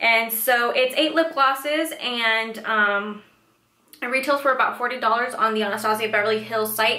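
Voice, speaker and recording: A moderate pace and fairly even intonation, with audible room echo and light background noise. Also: woman. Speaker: beauty vlogger. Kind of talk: casual product review chat. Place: home room.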